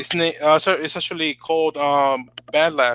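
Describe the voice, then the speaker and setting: A man with a Spanish accent, a high pitch and a bright, sharp tone, recorded dry and close with no echo. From Dominican Republic. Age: 20s. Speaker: YouTuber and beat producer. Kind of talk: casual chat. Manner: halting, many fillers.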